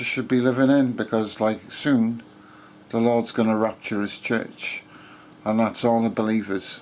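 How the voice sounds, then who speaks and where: In a monotone, flat intonation, a man talks at a fairly slow pace. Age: 50s. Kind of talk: casual talk to camera. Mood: earnest, calm. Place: home room. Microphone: phone near.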